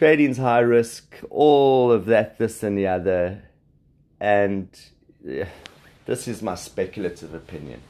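A man with a South African accent, a fairly low pitch, a dark, mellow tone and lively intonation. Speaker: podcast host, trader. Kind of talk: solo podcast monologue on markets. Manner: casual, hesitant with fillers.

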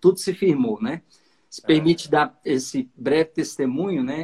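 With a plain, everyday voice, a man talks at a moderate pace, his fairly high pitch showing ordinary variation. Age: 30s. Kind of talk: lecture. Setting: video call.

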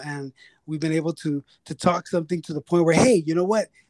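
This man's voice sits fairly high, with monotone, flat intonation. The sound is dry and close, with no echo. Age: 30s. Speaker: podcast host, counseling student. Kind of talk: casual interview chat.

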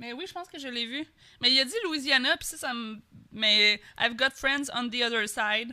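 Speaking in a Quebec accent, a woman with a high pitch keeps a moderate pace, with ordinary pitch variation and big swings in loudness. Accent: Québécois French. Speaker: podcast co-host. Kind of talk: casual chat.

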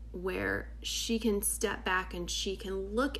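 A woman is speaking. Room echo is audible. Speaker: tarot reader. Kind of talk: tarot reading monologue. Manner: casual, filler-heavy.

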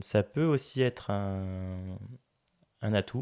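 Very slowly and with fairly even intonation, a man speaks in a fairly low, dark, mellow voice, recorded very cleanly against a silent background. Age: 30s. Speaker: entrepreneur. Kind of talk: interview. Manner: halting.

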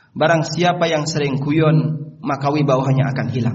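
The pitch rises and falls in an ordinary way, with audible echo from the room. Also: man. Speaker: Islamic preacher. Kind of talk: sermon.

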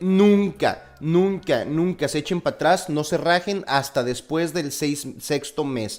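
A man's fairly high voice with ordinary pitch variation, at a fairly slow pace over music in the background. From Mexico, Torreón, Coahuila. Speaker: podcast host, engineer. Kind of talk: casual chat.

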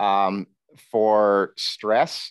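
In a New York State accent, a man speaks at a fairly low pitch, with a dry, close sound that has no echo and a quiet background. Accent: American (New York State). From upstate New York. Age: 40s. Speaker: nutritional therapy practitioner. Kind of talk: casual interview.

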